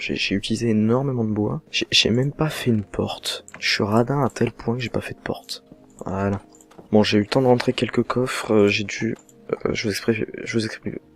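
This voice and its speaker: A soft-spoken man at a moderate pace with fairly even intonation, dry and close with no echo, music in the background. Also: medium pitch for a man. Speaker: gaming youtuber. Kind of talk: let's play commentary.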